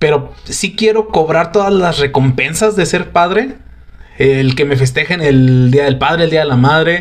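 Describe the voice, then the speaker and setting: A man with a plain, everyday voice speaks fairly high, with lively intonation. His loudness stays very even, and his pace is fairly slow. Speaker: podcast host. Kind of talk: casual chat.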